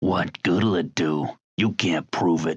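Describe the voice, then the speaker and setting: A man's put-on character voice, raspy and very deep, at a fairly slow pace with fairly even intonation. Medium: audio drama.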